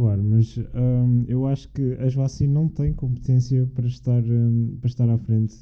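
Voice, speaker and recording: The delivery is monotone and flat at a moderate pace, with very even loudness. There are hardly any pauses. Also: man, medium pitch for a man. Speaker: university student. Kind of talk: casual chat.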